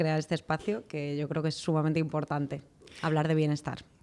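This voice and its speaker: Speaking very fast, a woman has a very deep, low pitch and a dark, mellow tone. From Spain, Madrid. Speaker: clinical psychologist. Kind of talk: podcast interview. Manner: hesitant, with many fillers.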